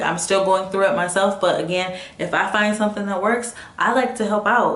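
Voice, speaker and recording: Her voice is an unremarkable speaking voice, pitched in the medium range for a woman. The intonation doesn't rise or fall much. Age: 20s. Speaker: motivational vlogger. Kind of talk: casual talk to camera.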